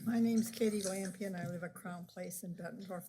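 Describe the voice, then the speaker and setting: Speaking at a moderate pace with a Midwestern US accent, a woman has a medium pitch. Her somewhat breathy voice carries a dark, mellow tone. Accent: US Midwest. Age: 80s+. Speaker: resident speaking at public comment. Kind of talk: public comment at council meeting. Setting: city council chamber. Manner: halting.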